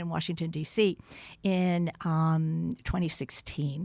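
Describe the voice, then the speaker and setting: Here a woman speaks with an American accent in a monotone, flat intonation. The recording is very clean, with a silent background. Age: 70s. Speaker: writer and retired diplomat. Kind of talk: podcast interview.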